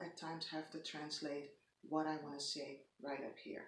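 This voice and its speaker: In a Dutch accent, a woman speaks with a fairly low pitch. Audible room echo surrounds her voice. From Netherlands. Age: 40s. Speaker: lifestyle vlogger. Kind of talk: casual vlog monologue. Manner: halting, many pauses and fillers.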